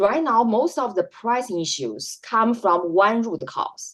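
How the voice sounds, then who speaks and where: A woman speaks with very wide pitch swings around a fairly high pitch. Vocal fry runs through her voice. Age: 40s. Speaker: health policy scholar. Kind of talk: interview. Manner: halting.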